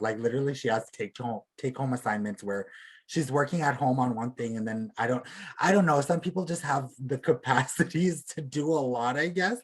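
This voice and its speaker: This man has a fairly high pitch and a somewhat breathy voice, with lively intonation. He speaks at a moderate pace against a quiet background. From Alberta, Canada (Plains Cree). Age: 20s. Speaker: beadwork artist. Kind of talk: casual chat.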